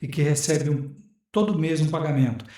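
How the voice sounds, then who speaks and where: At a moderate pace, the somewhat breathy voice carries a dark, mellow tone, with audible room echo around it. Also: man. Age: 60s. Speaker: retired tax auditor, business lawyer. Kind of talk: interview.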